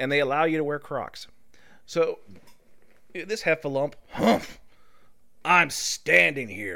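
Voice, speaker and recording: A man with a fairly high pitch talks at a very slow pace, leaving long, frequent pauses. His bright, sharp tone carries vocal fry and lively intonation over a very clean recording with a silent background. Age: middle-aged. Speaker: podcast host. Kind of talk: casual chat.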